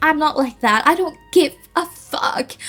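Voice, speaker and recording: A woman in a Cantonese accent at a fairly slow pace, lively intonation, music in the background. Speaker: language teacher and content creator. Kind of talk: casual vlog rant and language tutorial. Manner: animated.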